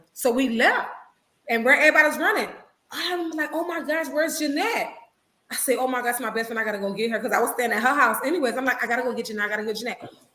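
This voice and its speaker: A high-pitched woman at a very fast pace, animated in tone with ordinary pitch variation, amid audible room echo. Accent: American. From Little Haiti, Miami, Florida (Haitian American). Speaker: minister, guest speaker. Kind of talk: testimony. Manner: sometimes mumbles.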